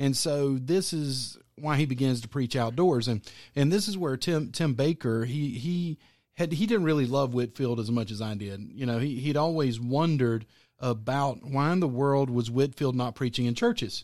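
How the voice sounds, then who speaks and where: Heard on a very clean recording with a silent background, a man has an unremarkable speaking voice at a medium pitch, with ordinary pitch variation and a moderate pace. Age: 40s. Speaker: pastor. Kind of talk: casual chat.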